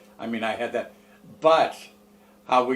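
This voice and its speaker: This man speaks in an American accent at a moderate pace, with noticeable background noise behind him. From US Midwest, Fort Wayne, Indiana. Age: 80s+. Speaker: retired female impersonator, bar owner. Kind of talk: interview storytelling.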